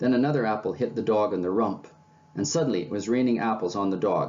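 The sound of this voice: Pitch varies in an ordinary way through this unforced reading voice.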